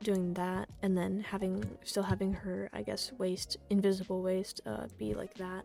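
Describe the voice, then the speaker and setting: Over background music, a woman speaks at a very slow pace. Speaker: 3D artist giving art critique. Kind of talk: casual screen-recorded commentary. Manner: hesitant, stuttering, many fillers.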